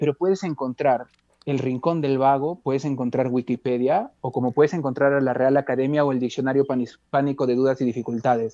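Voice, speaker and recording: Talking at a fairly quick pace, a man with a fairly high pitch and a dark, mellow tone comes through in a dry, close sound with no echo. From Peru, Andean highlands (Cajabamba). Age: young. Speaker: musician. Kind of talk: interview. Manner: halting, many repetitions.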